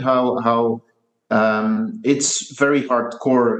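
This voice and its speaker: Lively intonation marks a man's medium-pitched voice. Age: 30s. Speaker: skate company founder. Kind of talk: interview. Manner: hesitant, many fillers and repetitions.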